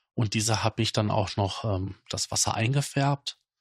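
Somewhat breathy speech comes at a fairly slow pace, with a dry, close sound with no echo and a quiet background. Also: man. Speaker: podcast host. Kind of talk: casual monologue.

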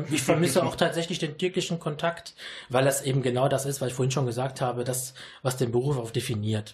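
This man's delivery is very fast and somewhat breathy. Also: medium pitch for a man, ordinary pitch variation. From Düsseldorf, Germany (born in Sicily). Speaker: teacher. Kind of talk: radio interview. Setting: studio.

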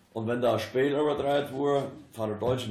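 A man speaks at a medium pitch and a moderate pace. His ordinary pitch variation comes through with audible room echo. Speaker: local dialect speaker. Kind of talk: anecdotal storytelling.

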